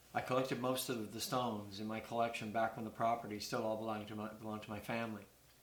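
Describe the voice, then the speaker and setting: Speaking very fast with hardly any pauses, a man with a Maritime Canadian accent keeps a monotone, flat intonation amid noticeable background noise and audible room echo. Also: medium pitch for a man. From Canada, New Brunswick (Burt's Corner, near Fredericton). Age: 60s. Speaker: retired poultry farm worker and amateur stone collector. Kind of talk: prepared appeal read to camera.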